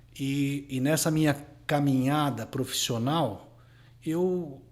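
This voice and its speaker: With audible room echo, a man talks at a very slow pace in a fairly high pitch, his pitch varying in an ordinary way. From Brazil, São Paulo city. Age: 40s. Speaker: lawyer. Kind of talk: interview.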